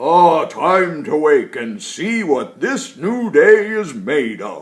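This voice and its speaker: A very slow, put-on character voice from a man. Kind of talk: bedtime story. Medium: read story. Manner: chuckling, slow and warm.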